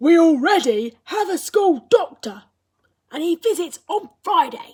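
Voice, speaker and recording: A woman's put-on character voice at an extremely high pitch, with very wide pitch swings and a fairly slow pace. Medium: read story.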